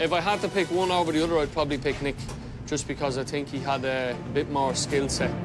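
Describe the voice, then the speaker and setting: A man is heard with clear music in the background. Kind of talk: interview answer. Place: kitchen. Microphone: lapel.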